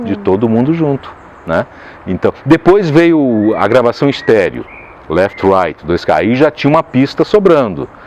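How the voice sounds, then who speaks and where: Over noticeable background noise, a man at a medium pitch talks at a fairly slow pace with very wide pitch swings. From Caxias do Sul, southern Brazil. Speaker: voice actor. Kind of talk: interview answer.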